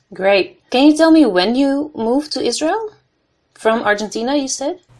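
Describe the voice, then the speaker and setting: A woman with a Dutch accent, high in pitch with very wide swings, at a moderate pace. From Netherlands. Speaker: podcast host, PhD candidate. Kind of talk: interview. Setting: online call from home.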